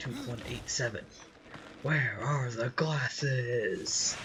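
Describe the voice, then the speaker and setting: A man uses a put-on character voice at a medium pitch. He speaks at a very slow pace over clear background noise. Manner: screaming, loud and harsh.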